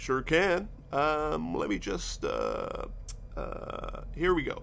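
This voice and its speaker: There is noticeable background noise. Over it, a man talks. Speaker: radio reporter. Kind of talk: spoof radio sketch comedy, with mock reporter sign-off.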